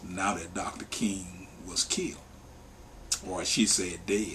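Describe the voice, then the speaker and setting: With ordinary pitch variation, a man speaks at a fairly slow speed. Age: 50s. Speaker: worker justice organization staff member. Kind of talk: interview testimony.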